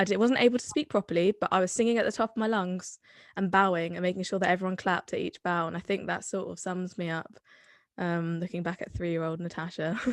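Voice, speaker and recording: On a very clean recording with a silent background and a dry, close sound with no echo, a woman with a Somerset accent talks at a very fast pace, her medium pitch held to fairly even intonation. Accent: Somerset accent, adopted later. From Somerset, England (Bath). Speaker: drama student. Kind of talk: casual chat.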